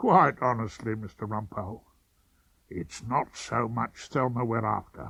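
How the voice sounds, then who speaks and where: A put-on character voice from a man, medium in pitch and moderate in pace. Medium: old radio play. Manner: breezy, overly polite, keeps saying sir.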